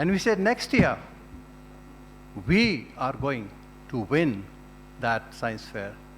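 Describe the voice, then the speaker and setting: With long, frequent pauses and noticeable background noise, a man speaks at a very slow pace. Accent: Pashto. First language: Pashto. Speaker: retired diplomat, alumnus. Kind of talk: speech. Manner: formal.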